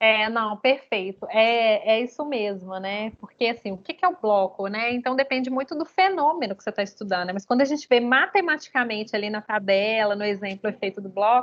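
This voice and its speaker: A woman talks at a fairly high pitch and fairly quick pace. Her tone is energetic, with hardly any pauses. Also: ordinary pitch variation. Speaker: university statistics lecturer. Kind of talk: lecture. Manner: fast.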